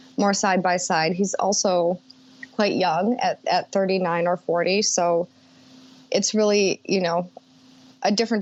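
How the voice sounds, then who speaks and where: A woman with an American accent talks at a moderate pace and medium pitch. Her intonation is monotone and flat. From US Midwest, Minnesota. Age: 30s. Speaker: executive assistant. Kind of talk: interview conversation.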